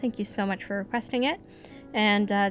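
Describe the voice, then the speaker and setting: A woman's voice over music in the background. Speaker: amateur horror story reader. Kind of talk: casual talk to camera.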